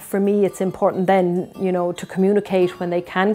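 Over faint music in the background, a woman with a fairly low pitch speaks at a moderate pace. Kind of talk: interview answer. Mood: earnest, reflective. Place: home room. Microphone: lapel.

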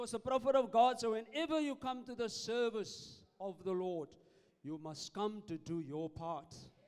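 A man's high-pitched voice, clear and smooth with a slightly mellow tone, at a moderate pace with ordinary pitch variation

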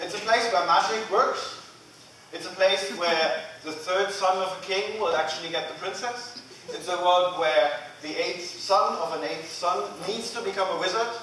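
In a room with audible echo and light background noise, a man speaks at a moderate pace with ordinary pitch variation. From Germany. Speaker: agile coach. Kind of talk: conference lightning talk. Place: hall. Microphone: camera far.

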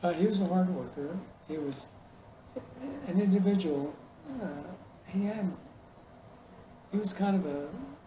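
Over noticeable background noise, a man speaks at a moderate pace with long, frequent pauses. His voice is high-pitched, with ordinary pitch variation. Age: 80s+. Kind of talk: oral history interview answer.

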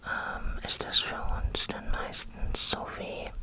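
Someone soft-spoken is whispering over noticeable background noise. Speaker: vlogger sharing personal experience. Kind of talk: casual vlog chat. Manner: soft close-mic whisper. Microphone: studio mic.

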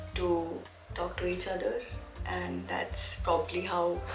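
A woman speaks at a fairly slow pace in a room with audible echo, faint music playing behind her. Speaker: vlogger. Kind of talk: casual vlog chat. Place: home room. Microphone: phone near.

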